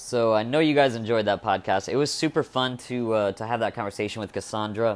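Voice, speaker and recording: A man with a normal speaking voice, medium pitch and ordinary pitch variation, talking at a fairly quick pace with hardly any pauses. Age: 30s. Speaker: podcast host, comedian. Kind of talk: casual chat; podcast intro and outro monologue.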